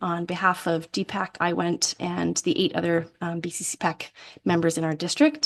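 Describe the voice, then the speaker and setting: A woman speaks with a fairly low pitch and vocal fry. Her intonation is monotone and flat. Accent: Canadian. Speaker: parent advisory council chair. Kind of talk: public meeting report. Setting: school board meeting. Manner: fast.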